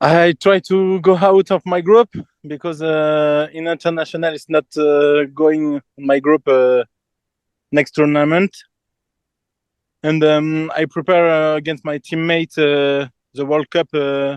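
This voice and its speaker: A man with a French accent speaks at a fairly slow pace, his fairly high voice keeping a fairly even intonation. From France. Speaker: table football player. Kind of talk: casual interview. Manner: halting.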